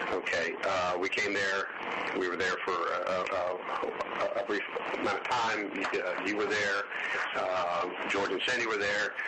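A man at a fairly slow pace over loud background noise. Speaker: investigator conducting interview. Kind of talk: interview questioning. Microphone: old recording.

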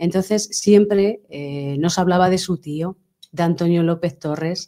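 A woman talks at a fairly slow pace. Her voice is fairly low in pitch, with a dark, mellow tone. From Spain, Tomelloso (Castilla-La Mancha); Castilla-La Mancha, Spain. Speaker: sculptor; guest. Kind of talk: interview. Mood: calm, heartfelt. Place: studio. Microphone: studio mic.

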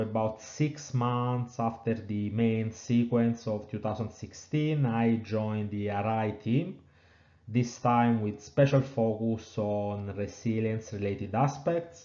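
A very slow voice with an Italian accent and a dark, mellow tone carries audible room echo. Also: man. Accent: Italian, non-British. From southern Italy, Naples. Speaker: engineering professor. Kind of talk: webinar lecture.

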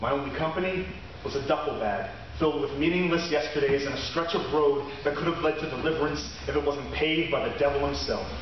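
A man speaks very fast in a fairly high voice. Strong room echo and light background noise surround him. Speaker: slam poet. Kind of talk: spoken word poetry performance. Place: stage. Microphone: camera far.

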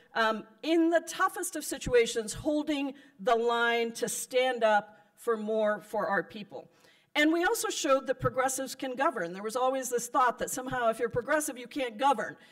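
Very wide pitch swings at a moderate pace against a quiet background. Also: woman, high pitch for a woman. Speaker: politician addressing a convention. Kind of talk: political speech. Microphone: podium.

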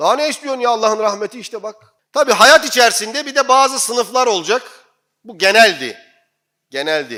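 An animated, raised, projected voice with a bright, sharp tone, a fairly quick pace, and big swings in loudness. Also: man, extremely high pitch for a man, lively intonation. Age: 40s. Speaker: imam. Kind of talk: sermon.

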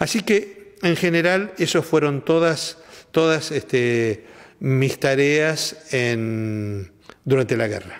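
Very slowly and with lively intonation, a man speaks at a fairly high pitch against a quiet background. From Argentina. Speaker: war veteran. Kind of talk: testimony. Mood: calm, reflective. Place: studio.

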